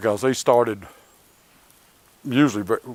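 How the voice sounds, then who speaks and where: Someone with a Southern US accent talks at a moderate pace with ordinary pitch variation. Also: man. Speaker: martial arts instructor. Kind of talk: tutorial. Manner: casual, conversational.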